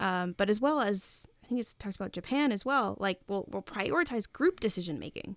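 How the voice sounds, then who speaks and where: A woman's medium-pitched, ordinary speaking voice with an American accent, at a moderate pace, dry and close with no echo, in a very clean recording over a silent background. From US Northeast. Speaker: podcast co-host, author. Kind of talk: casual chat.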